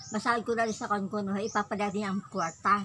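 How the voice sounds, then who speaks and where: A woman's very fast speech amid noticeable background noise. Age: old. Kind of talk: casual conversation. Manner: loud.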